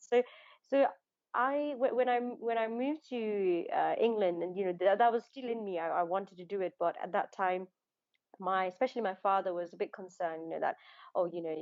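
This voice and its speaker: A woman with a Nepali accent speaks at a fairly quick pace, her medium pitch moving with ordinary variation. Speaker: actor. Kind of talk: casual interview. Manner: halting, many restarts and fillers.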